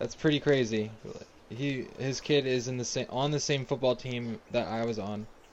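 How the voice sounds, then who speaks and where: In an American accent, a man speaks at medium pitch. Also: ordinary pitch variation, moderate pace. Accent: New Jersey accent noticed by chat. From New Jersey, Burlington County. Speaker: live streamer, gamer. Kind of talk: casual live stream chat while gaming.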